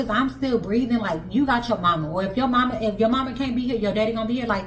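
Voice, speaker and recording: A woman's fairly high-pitched voice at a very fast pace with ordinary pitch variation, amid noticeable background noise and audible room echo. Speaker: stay-at-home mom vlogger. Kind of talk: casual monologue. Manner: animated.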